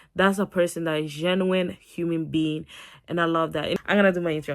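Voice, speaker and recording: A woman with a non-native accent and a fairly low pitch, animated in tone at a moderate pace, on a very clean recording with a silent background. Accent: foreign. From non-English-speaking country. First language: not English. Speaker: YouTuber. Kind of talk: storytime vlog.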